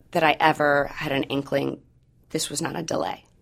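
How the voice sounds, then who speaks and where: With an American accent and vocal fry, a woman speaks at a moderate pace in a very deep, low pitch. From Missouri. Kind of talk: personal testimony in interview.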